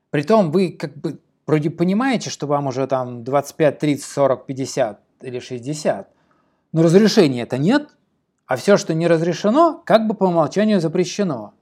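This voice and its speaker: The speaker goes at a fairly slow pace. The intonation is lively. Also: man, fairly high pitch for a man. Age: 40s. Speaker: podcast host and writing teacher. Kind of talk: solo podcast monologue. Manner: animated.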